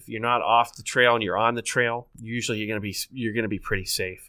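A man with an American accent talks fairly quickly at a medium pitch, his tone bright and sharp but his intonation flat and monotone. The recording is very clean, with a silent background. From northeast Ohio. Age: 40s. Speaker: state park manager. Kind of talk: casual interview.

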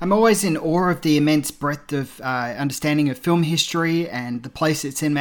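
A man with an Australian accent talks at a fairly quick pace with ordinary pitch variation, recorded very cleanly against a silent background. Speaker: film podcaster. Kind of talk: recorded tribute message.

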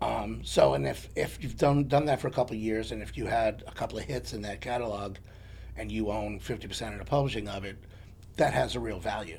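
Here a man talks at a fairly quick pace. His loudness swings a lot. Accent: New York. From New York, the Bronx. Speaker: songwriter. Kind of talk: casual chat.

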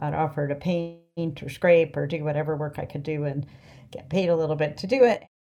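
Over music in the background, a woman with an American accent talks at a fairly quick pace in a very deep, low pitch, with fairly even intonation and big swings in loudness. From US East Coast. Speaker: fishing boat captain. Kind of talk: interview.

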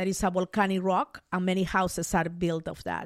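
Recorded very cleanly with a silent background, a woman's voice comes across dry and close with no echo. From Peru, Mollendo. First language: Spanish. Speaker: sociologist and business author. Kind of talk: interview.

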